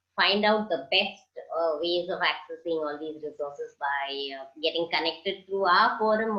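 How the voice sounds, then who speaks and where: Speaking at a fairly slow pace, a woman uses a normal speaking voice with fairly low pitch. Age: 60s. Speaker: social entrepreneur. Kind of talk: interview answer.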